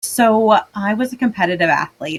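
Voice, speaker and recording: An energetic woman with a Southern US accent at a moderate pace, ordinary pitch variation, the sound dry and close with no echo. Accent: Southern twang. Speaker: medtech sales executive. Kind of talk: interview.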